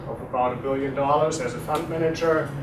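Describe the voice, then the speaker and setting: A man with a German accent, audible room echo, and noticeable background noise. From Germany. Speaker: insurance executive. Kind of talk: guest lecture. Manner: conversational, many filler words.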